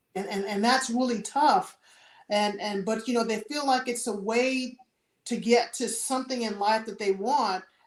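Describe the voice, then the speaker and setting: A plain, everyday voice with an American accent, at a moderate pace. The intonation stays fairly even. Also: woman, fairly high pitch for a woman. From US South, New Orleans, Louisiana. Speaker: retired air force senior enlisted leader. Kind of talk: interview.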